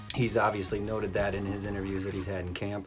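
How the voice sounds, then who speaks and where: A man's fairly low voice in a flat monotone at a very fast pace, with music in the background and audible room echo. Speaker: sports vlogger. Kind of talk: casual sports commentary monologue. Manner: halting, many fillers (um, uh).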